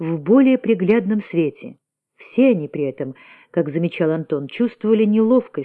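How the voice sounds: A natural reading voice with lively intonation sounds out against a quiet background.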